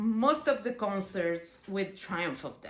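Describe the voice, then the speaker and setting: A woman speaks very slowly with an Italian accent. Her pitch is fairly high, and room echo is audible. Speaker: bass player. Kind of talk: casual video talk. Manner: halting.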